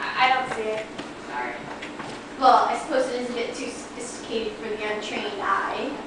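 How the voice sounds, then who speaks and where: The voice is delivered in monotone, flat intonation amid noticeable background noise and strong room echo. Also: woman. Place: home room. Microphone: camera far.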